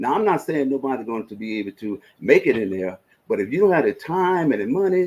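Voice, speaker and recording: A man with a Mississippi accent speaks in an animated tone. His pitch swings very widely. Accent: Southern US, Mississippi. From US South. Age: 70s. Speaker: investment advisor. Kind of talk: casual advice talk. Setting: live stream.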